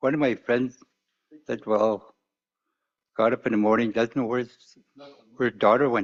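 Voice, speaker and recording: Speaking at a moderate pace with long, frequent pauses, a man keeps a medium pitch and a flat, monotone delivery. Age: 60s. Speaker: community leader. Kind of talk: public testimony at community hearing.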